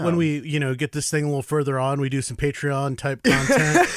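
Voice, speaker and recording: There is noticeable background noise here. A man talks in a fairly high voice. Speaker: wrestling announcer, commentator and referee. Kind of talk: casual podcast conversation.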